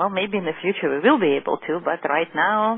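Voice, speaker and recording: A woman speaks with a Russian accent. Her voice is fairly low-pitched, with lively intonation. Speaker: holistic physician. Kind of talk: lecture. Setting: teleclass.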